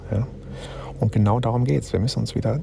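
Noticeable background noise sits behind a man speaking. His pitch is medium, with ordinary pitch variation. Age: 50s. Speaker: spiritual self-help podcaster. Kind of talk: spontaneous reflective monologue. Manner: halting, with filler sounds.

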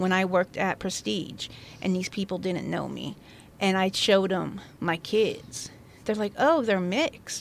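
An American-accented woman talks at a fairly slow pace with medium pitch, ordinary pitch variation and vocal fry. Her pauses are long and frequent. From Central Oregon, La Pine. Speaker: host's wife, former retail manager. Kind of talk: casual chat.

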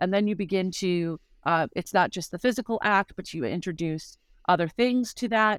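Speaking at a fairly quick pace in a normal speaking voice with ordinary pitch variation, a woman comes through on a very clean recording with a silent background and a dry, close sound with no echo. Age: 50s. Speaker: author and speaker. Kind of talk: casual chat.

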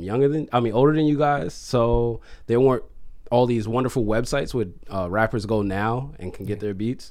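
A man speaks in a normal speaking voice at medium pitch. His pace is fairly quick and his pitch varies in an ordinary way. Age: 30s. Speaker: DJ and music producer. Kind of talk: casual chat. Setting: studio.

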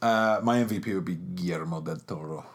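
With an English accent, a man talks at a very slow pace. His intonation is lively. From England. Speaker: film podcast host. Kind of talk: casual chat.

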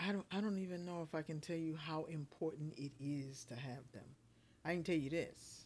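In a very clean recording with a silent background, a woman speaks at a moderate pace with a very deep, low pitch and ordinary pitch variation. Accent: American. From US South, South Carolina Lowcountry. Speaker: preacher and spoken word artist. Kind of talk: casual interview chat.

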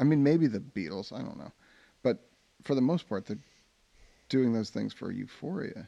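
Speaking in an American accent, a man with a medium pitch and a dark, mellow tone uses lively intonation and vocal fry, with big swings in loudness and long, frequent pauses. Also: moderate pace. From suburban New Jersey. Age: 50s. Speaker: teacher and podcast co-host. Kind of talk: casual chat.

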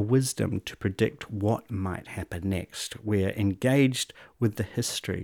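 A man at a fairly slow pace, very cleanly recorded against a silent background, with a dry, close sound and no echo. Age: 50s. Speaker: educator. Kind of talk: interview conversation. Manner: animated.

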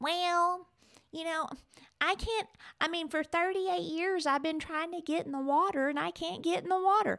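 A put-on character voice, whiny and extremely high in pitch, moves at a moderate pace with long, frequent pauses. The recording is very clean, with a silent background. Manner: whiny, complaining.

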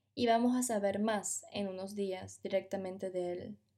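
A woman's dark, mellow voice with fairly even intonation comes through on a very clean recording against a silent background. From Venezuela. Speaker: podcast narrator. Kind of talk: scripted narration.

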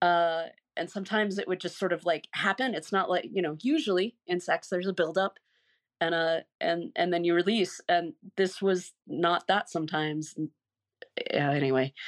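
An unremarkable speaking voice, heard dry and close with no echo against a quiet background, moves at a moderate pace with ordinary pitch variation. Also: woman, fairly low pitch for a woman. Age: 50s. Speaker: ex-cult member and massage therapist. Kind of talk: interview, personal testimony.

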